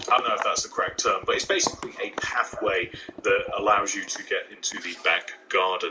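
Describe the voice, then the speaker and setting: Spoken in an East Midlands accent. Background noise is noticeable. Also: man. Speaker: gaming YouTuber. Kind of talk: tutorial. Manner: casual, hesitant with fillers.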